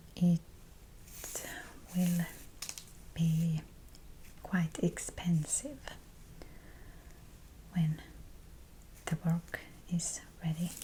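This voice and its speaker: A soft-spoken woman with a fairly low voice talks at a very slow pace in a calm tone, with long, frequent pauses, very even loudness and fairly even intonation, over noticeable background noise. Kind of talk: soft-spoken ASMR chat while crafting. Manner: soft-spoken, calm, slow.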